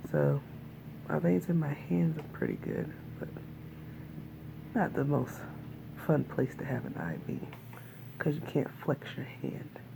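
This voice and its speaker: The voice is quiet and fairly slow, broken by long, frequent pauses, with noticeable background noise. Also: woman. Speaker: video blogger. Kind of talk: casual video diary. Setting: hospital room.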